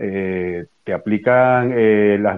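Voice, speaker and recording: The man's intonation stays fairly even throughout. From Venezuela. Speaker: Venezuelan activist. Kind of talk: live audio space discussion.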